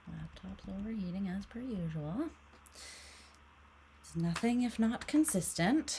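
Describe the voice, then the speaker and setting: A woman is soft-spoken. Her pace is very slow. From Canada. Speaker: tarot reader. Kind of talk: casual chat. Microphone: mic sensitivity turned up, heard as too quiet.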